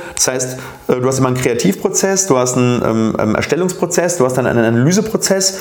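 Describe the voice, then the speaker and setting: Amid noticeable background noise and audible room echo, a man with a medium pitch talks at a very fast pace with lively intonation. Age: 30s. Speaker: dentist and oral surgeon, podcast host. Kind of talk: casual interview conversation. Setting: living room with cameras.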